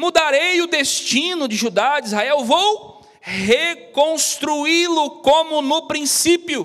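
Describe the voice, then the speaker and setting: Delivery is very slow. The pitch moves with ordinary variation. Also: man, extremely high pitch for a man. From interior of São Paulo state, Brazil. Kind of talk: sermon, preaching a Bible-based message to a live audience. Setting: TV studio with live audience. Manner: fervent, exhortative, direct address to listeners, praying aloud. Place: studio. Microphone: handheld.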